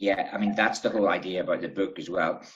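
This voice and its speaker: Bright and sharp in tone, a man's fairly low voice carries a Northern Irish accent. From Bangor, Northern Ireland. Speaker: travel writer. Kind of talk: interview answer.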